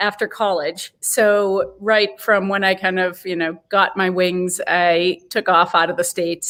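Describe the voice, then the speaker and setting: A woman speaks with a Boston accent at a medium pitch. Her pace is fairly slow, with hardly any pauses. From US, Boston. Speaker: head brewer and brewery director. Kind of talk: interview. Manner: hesitant, many fillers.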